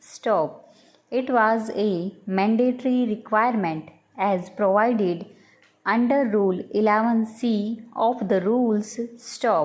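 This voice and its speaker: At a very slow pace, a woman speaks with a fairly high pitch, ordinary pitch variation and very even loudness. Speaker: shorthand dictation reader. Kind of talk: dictation reading aloud. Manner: slow, steady dictation pace.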